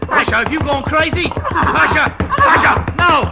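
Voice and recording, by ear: In a put-on character voice, a man goes to an extremely high pitch with big swings, a bright, sharp tone and vocal fry, moving at a fairly slow pace as faint music plays in the background.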